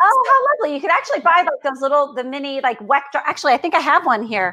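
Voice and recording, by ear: A raised, projected voice from a woman with an American accent: high-pitched, fairly quick, with lively intonation.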